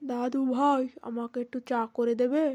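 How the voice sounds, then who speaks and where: In a cartoonish character voice, a woman speaks at a high pitch with monotone, flat intonation. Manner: mild, tired.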